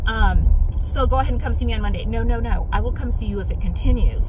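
Speaking very fast, a woman with an American accent sounds dry, with no echo. Noticeable background noise is present. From Arizona, US. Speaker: vlogger. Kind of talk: casual vlog chat. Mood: chatty, slightly tired. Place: car. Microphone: phone near.

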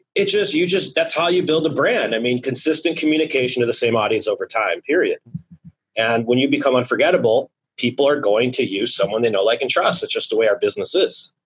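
A man talks at a very fast pace, and the background is quiet. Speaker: podcast guest. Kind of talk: interview answer. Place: office. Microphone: studio mic.

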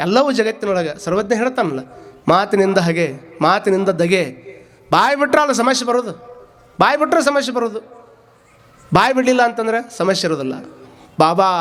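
With an animated tone and lively intonation, a man talks at a high pitch over noticeable background noise. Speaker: spiritual preacher. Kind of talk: sermon.

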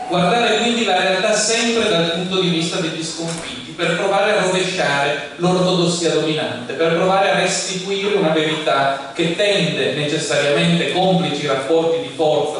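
Amid strong room echo and light background noise, a man talks at a moderate pace in a high pitch, with ordinary pitch variation. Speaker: speaker. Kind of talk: lecture. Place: hall.

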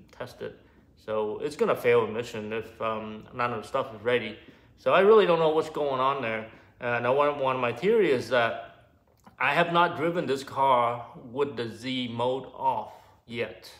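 Ordinary pitch variation accompanies speech at a moderate pace. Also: man. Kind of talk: casual vlog chat. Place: garage. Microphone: phone near.

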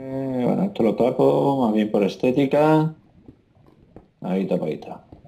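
Talking at a moderate pace and medium pitch, a man uses lively intonation and leaves long, frequent pauses. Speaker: gaming YouTuber's father. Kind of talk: gameplay commentary.

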